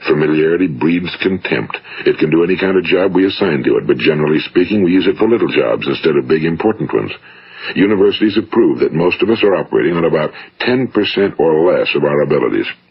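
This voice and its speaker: Over noticeable background noise, a man with an American accent speaks at a very fast pace with very even loudness. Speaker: motivational speaker / radio broadcaster. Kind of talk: motivational speech, vintage spoken-word recording.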